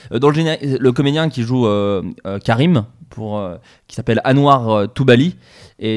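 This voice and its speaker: At a fairly slow pace, a man with a medium pitch speaks on a very clean recording with a silent background. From France, Burgundy. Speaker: podcast host. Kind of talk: casual chat.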